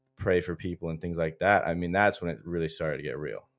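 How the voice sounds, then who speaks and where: A man with an American accent and a very deep, low pitch, fairly even intonation and a very fast pace, with music in the background. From US South, Florida. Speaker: college football player. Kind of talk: casual chat.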